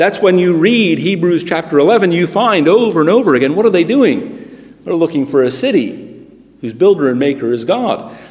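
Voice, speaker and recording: Noticeable background noise accompanies a man with an American accent whose high pitch makes very wide swings as he talks at a moderate pace. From United States. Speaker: preacher. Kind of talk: sermon. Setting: church.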